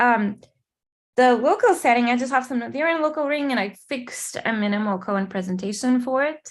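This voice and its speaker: A woman speaks with a Portuguese accent at a fairly quick pace and a high pitch. The recording is very clean, with a silent background. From Portugal or Brazil. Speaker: mathematician. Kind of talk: lecture. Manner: hesitant, many fillers.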